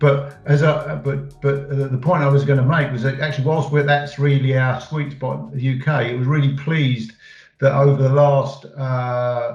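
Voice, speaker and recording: A man with an English accent speaks at a fairly high pitch and a moderate pace, somewhat breathy. His intonation is monotone and flat, with audible room echo. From England. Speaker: head of a data consultancy business unit. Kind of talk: interview. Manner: halting, many fillers.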